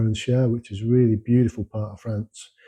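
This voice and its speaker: Against a quiet background, a man with a London accent speaks at a fairly low pitch in a dark, mellow, somewhat breathy voice. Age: 60s. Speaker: home renovator, former construction worker. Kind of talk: casual monologue to camera. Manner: halting, many fillers.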